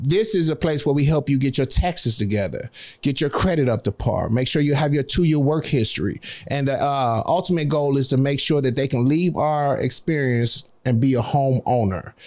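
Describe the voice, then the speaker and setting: Against a quiet background, a man with a plain, everyday voice talks at a fairly quick pace and a fairly high pitch with ordinary pitch variation. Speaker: guest, nonprofit employment program founder. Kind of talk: casual conversational interview. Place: studio. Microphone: studio mic.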